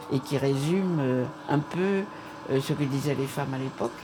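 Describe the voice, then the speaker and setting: There is noticeable background noise behind a woman speaking. Her pitch is very deep and low, with ordinary pitch variation. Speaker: feminist activist. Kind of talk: documentary interview. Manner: hesitant with frequent fillers.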